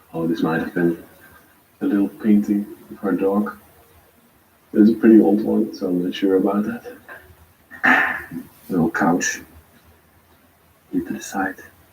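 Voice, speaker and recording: Over noticeable background noise, a man with a non-native accent speaks fairly slowly, with long, frequent pauses. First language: not English. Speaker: urban explorer vlogger. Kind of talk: live tour narration.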